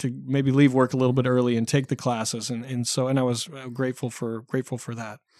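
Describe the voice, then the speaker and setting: A West Coast US accent in a very clean recording with a silent background. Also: man. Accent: General American (West Coast). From US Pacific Northwest (Oregon). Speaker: election analyst. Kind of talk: interview. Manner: halting.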